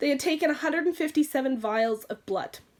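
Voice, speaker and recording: A woman speaks in an animated tone. Her pitch is high. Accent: Canadian. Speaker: beauty vlogger. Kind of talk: personal storytelling vlog. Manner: fast.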